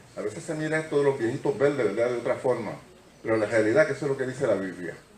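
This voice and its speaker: Speaking at a very fast pace, a man has a medium pitch and ordinary pitch variation. Noticeable background noise and audible room echo are present. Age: 70s. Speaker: lawyer. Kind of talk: lecture.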